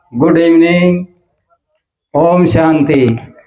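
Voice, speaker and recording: A man talks in a high voice, with noticeable echo from the room around him. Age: 70s. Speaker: retired teacher. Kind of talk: testimony.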